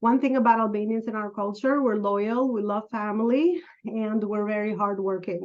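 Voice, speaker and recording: A woman speaks at a moderate pace. Her pitch is medium. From Albania, moved to New York at 15. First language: Albanian. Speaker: business coach, entrepreneur. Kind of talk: podcast interview.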